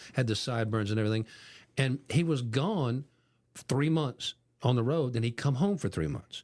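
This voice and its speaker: A man with an American accent and an unremarkable speaking voice, medium in pitch, at a moderate pace with lively intonation, on a very clean recording with a silent background. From Ohio, US Midwest. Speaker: podcast host. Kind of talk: casual chat.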